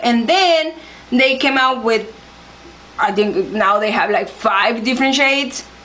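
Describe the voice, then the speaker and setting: With a Spanish accent, a woman talks in a high-pitched voice over noticeable background noise and audible room echo. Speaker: beauty vlogger. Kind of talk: makeup tutorial. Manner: halting, searching for words.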